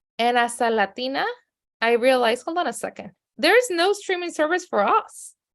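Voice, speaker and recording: A woman talks with a strong Mexican accent. Her pitch swings very widely. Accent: heavy Mexican Spanish. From Mexico City, then San Diego. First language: Spanish. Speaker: media company CEO. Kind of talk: podcast interview.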